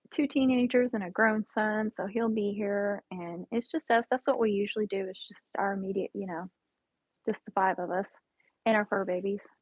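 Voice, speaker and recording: A woman speaks at a moderate pace in an unremarkable speaking voice, her pitch medium with ordinary variation. Her loudness swings widely. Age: 40s. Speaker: diet vlogger streaming live. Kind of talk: casual live stream chat answering viewer comments. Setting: live stream at home. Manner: casual, chatty.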